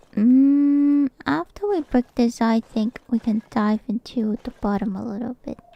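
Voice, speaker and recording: Someone with a non-native accent talks at a fairly slow pace with hardly any pauses and ordinary pitch variation, the sound dry and close with no echo but with noticeable background noise. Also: woman, high pitch for a woman. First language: not English. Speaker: vtuber streamer. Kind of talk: casual chat while gaming. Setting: live stream. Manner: halting, repeats words.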